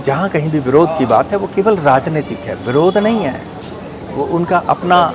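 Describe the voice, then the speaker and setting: Lively intonation from a man with a non-native accent, with noticeable background noise. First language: not Hindi (speaking Hindi). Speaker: Hindi language activist. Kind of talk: interview statement.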